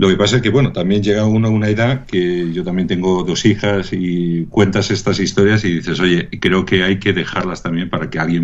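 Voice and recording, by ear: A man talks at a low pitch with fairly even intonation.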